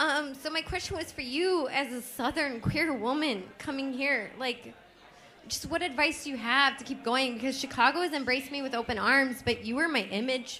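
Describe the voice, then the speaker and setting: A woman with an American accent speaks in a raised, projected voice. Her pitch is high, with ordinary pitch variation, at a moderate pace. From Houston, Texas. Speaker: audience member. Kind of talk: audience question.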